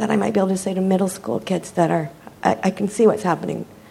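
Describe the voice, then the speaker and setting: Over noticeable background noise, the speaker moves at a fairly quick pace with lively intonation. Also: woman. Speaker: middle school science teacher, audience member.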